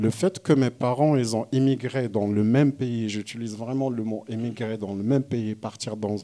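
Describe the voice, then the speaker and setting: A man speaks at a medium pitch with a dark, mellow tone. His intonation stays fairly even, and he hardly pauses at all. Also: moderate pace. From southern Morocco, oasis region. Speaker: visual artist. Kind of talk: panel conversation. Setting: gallery event with audience. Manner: halting, many restarts.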